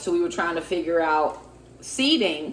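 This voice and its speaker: A woman speaks with a fairly low pitch. She has a plain, everyday voice. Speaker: vlogger and preacher. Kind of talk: casual talk to camera.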